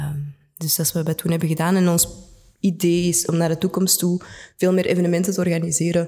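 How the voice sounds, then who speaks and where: A woman's fairly low, dark, mellow voice at a very fast pace, in a monotone, flat intonation. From Antwerp, Belgium. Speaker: cultural sector organiser. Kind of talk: casual interview.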